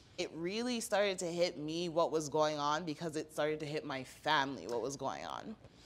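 At a moderate pace, a woman talks in a very deep, low pitch with ordinary pitch variation. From Toronto, Canada. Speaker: mayoral candidate and policy analyst; candidate, policy analyst. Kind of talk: casual interview chat. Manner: animated. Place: studio. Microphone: handheld.

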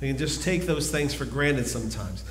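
A man talks with ordinary pitch variation, with audible room echo and light background noise. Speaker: preacher. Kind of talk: sermon. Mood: calm, earnest. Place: church.

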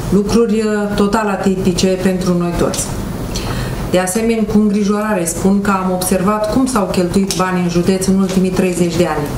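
A woman speaks in a medium-pitched, monotone, flat voice at a moderate pace over noticeable background noise. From Romania. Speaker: county council candidate. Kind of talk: press conference statement. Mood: critical, dissatisfied. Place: meeting room. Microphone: handheld.

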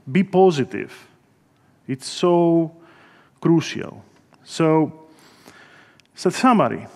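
A man with a Greek accent, high-pitched, at a very slow pace with long, frequent pauses, ordinary pitch variation and a quiet background. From Greece. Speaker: software engineer; conference speaker. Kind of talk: guided meditation; conference talk. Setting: stage with audience. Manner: halting. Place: hall. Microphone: podium.

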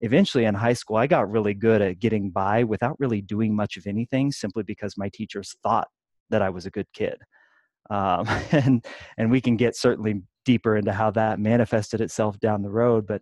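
Against a quiet background, a man with a fairly low pitch uses fairly even intonation in a dry sound with no echo. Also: fairly quick pace. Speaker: podcast guest. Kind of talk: interview answer. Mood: reflective, occasional laughs. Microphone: video call.

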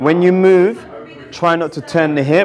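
Over light background noise, a man speaks fairly slowly with ordinary pitch variation. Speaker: boxing coach. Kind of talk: tutorial. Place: gym.

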